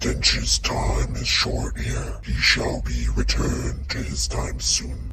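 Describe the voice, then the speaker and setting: Over loud background noise and a clear echo, a man does a put-on character voice at a very slow pace. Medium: actual play. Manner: solemn, grave, declarative.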